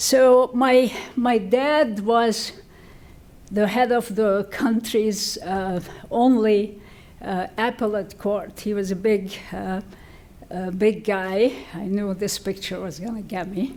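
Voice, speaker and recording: Speaking very slowly with long, frequent pauses, a woman with a Lebanese accent uses a medium pitch and ordinary pitch variation. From Lebanon. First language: French or Arabic. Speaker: physician and medical researcher. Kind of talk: ceremony acceptance speech.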